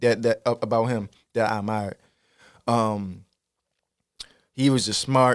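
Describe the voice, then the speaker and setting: A man speaks at a fairly slow pace in a medium-pitched voice with monotone, flat intonation and long, frequent pauses. The sound is dry and close, with no echo. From Baltimore, Maryland (West Baltimore, Park Heights). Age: 30s. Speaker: rapper and content creator. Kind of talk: casual interview.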